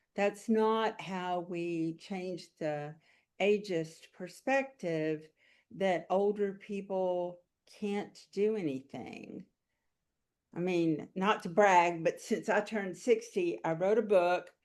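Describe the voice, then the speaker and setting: Very slow delivery with ordinary pitch variation. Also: woman, medium pitch for a woman. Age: 70s. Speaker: writer and entrepreneur. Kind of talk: podcast interview.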